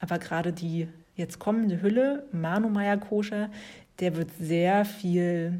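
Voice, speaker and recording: A woman talks at a very slow pace and a medium pitch, with ordinary pitch variation. Her tone is warm and relaxed, dark and mellow, and somewhat breathy. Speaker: yoga teacher and podcast host. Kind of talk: casual solo talk on yoga philosophy. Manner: warm, relaxed with frequent laughter.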